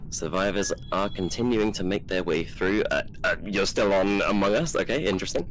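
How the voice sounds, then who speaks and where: With music in the background, a man with a fairly low voice speaks at a moderate pace with hardly any pauses, very even loudness and ordinary pitch variation. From England. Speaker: esports caster. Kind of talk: live game commentary; casual chat with stream chat. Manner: halting, many fillers and repeats.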